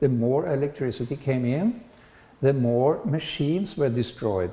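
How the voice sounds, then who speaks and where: This man speaks with a Norwegian accent. His pitch is medium. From Norway. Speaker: spiritual lecturer. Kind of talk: lecture. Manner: halting.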